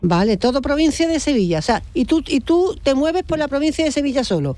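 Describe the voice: A woman's high-pitched voice with a dark, mellow tone, big pitch swings and a fairly quick pace.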